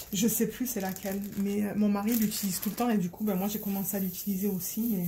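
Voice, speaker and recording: A woman talks at a fairly quick pace in a monotone, flat delivery, with noticeable background noise behind her. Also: medium pitch for a woman. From Marseille, southern France. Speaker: crafting vlogger. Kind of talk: casual vlog chat. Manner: hesitant, many fillers.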